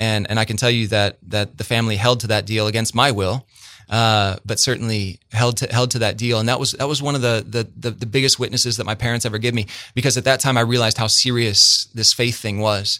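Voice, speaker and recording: In a very clean recording with a silent background, a man speaks fairly quickly at a medium pitch in a bright, sharp tone with monotone, flat intonation. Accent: Midwestern US. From central Illinois (Bloomington). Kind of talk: interview, personal testimony. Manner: repetitive, halting starts.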